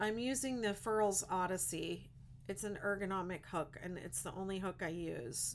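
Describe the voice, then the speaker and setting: A woman with an American accent and an ordinary speaking voice speaks at a moderate pace and medium pitch, with ordinary pitch variation. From Western Pennsylvania. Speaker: crochet content creator. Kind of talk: casual livestream chat.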